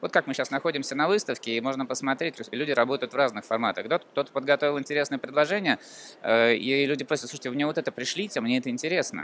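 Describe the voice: A man's medium-pitched, fairly bright voice at a very fast pace, with ordinary pitch variation.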